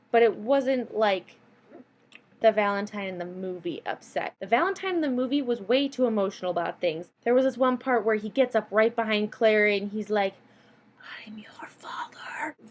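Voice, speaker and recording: A woman's fairly high-pitched voice at a moderate pace, with big swings in loudness. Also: ordinary pitch variation. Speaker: YouTuber, student. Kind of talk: casual movie review vlog. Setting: dorm room. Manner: stumbling over words.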